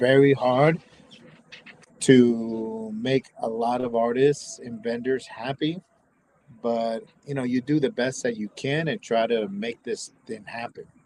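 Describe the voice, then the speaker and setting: With an American accent, a man of medium pitch talks at a fairly slow pace, his intonation fairly even but his loudness swinging widely. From US South, Tampa, Florida. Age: 50s. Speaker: tattoo shop owner and convention organizer. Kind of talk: casual livestream chat. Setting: live stream from his tattoo shop. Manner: halting, repetitive.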